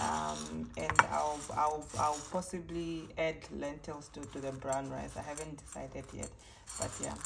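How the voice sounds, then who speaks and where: A woman speaks at a fairly slow pace. Audible room echo and noticeable background noise fill the recording. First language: Oshiwambo. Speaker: cooking vlogger. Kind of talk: cooking tutorial. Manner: halting, many fillers and repeats.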